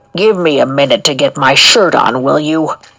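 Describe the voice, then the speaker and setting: Using a put-on character voice, a woman growls at a moderate pace in a very deep, low, gravelly voice with a grumpy tone. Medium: read story. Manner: gruff, grumpy.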